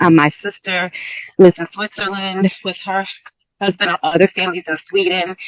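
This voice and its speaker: A woman speaks at a fairly quick pace and medium pitch. Her voice sounds dry and close, with no echo. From New Jersey. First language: multilingual household, English second-ish. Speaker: university center director. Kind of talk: interview.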